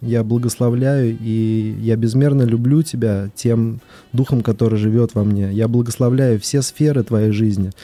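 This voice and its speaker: A man speaks at a moderate pace in medium pitch, with fairly even intonation. It is an unremarkable speaking voice. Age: young. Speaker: company director and lay pastoral counselor. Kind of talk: casual chat; blessing. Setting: studio.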